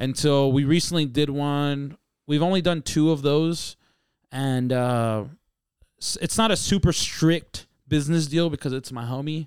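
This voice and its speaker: Over a silent background in a very clean recording, a man talks at a fairly slow pace in a normal speaking voice. His pitch is fairly high, with ordinary pitch variation. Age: 20s. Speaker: rapper and musician. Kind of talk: casual chat.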